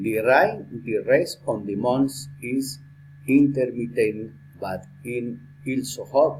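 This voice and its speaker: A man speaks at a very slow pace with fairly even intonation. His voice is somewhat breathy. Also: medium pitch for a man. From Colombia. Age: 60s. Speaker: lawyer and language student. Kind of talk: prepared speaking exercise. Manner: halting.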